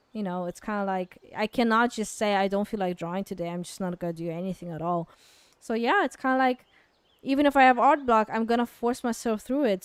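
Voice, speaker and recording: Speaking at a fairly quick pace with a non-native accent, a woman keeps a medium pitch and ordinary pitch variation. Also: dry, close sound with no echo. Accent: noticeable foreign. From Kazakhstan. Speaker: artist streamer. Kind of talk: casual Q&A livestream. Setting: livestream. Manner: hesitant, many fillers.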